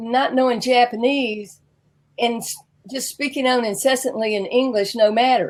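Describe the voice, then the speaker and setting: A woman speaks at a fairly slow pace with a Southern US accent. Her pitch is high. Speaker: business coach. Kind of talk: interview.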